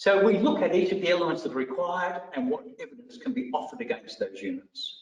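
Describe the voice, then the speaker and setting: With an Australian accent, a man speaks at a high pitch. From Australia, country Victoria. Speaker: vocational education trainer. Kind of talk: professional development lecture.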